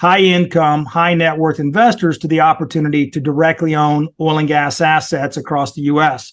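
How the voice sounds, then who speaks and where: With a Texan accent, a man talks at a moderate pace in a fairly high pitch and fairly even intonation, recorded very cleanly against a silent background. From Texas (Corpus Christi, Rio Grande Valley). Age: 50s. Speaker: investment firm owner. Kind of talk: podcast interview.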